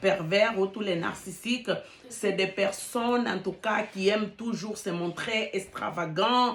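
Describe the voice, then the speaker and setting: Speaking at a fairly slow pace, a woman with a medium pitch shows ordinary pitch variation over noticeable background noise. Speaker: relationship coach YouTuber. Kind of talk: casual vlog talk. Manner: hesitant with fillers; halting, searching for words.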